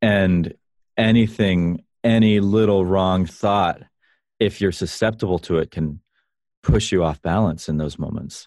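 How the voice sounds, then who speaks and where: The voice has ordinary pitch variation and moves at a fairly slow pace. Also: man, very deep, low pitch for a man. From US South, Florida (Vero Beach). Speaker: musician and app founder. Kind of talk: casual interview.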